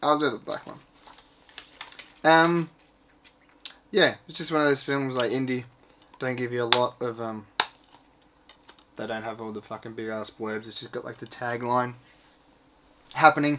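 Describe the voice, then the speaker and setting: Long, frequent pauses break up a man's speech, which has a medium pitch, fairly even intonation and big swings in loudness, set against noticeable background noise. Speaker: film collector video creator. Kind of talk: casual unboxing chat. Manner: casual, halting.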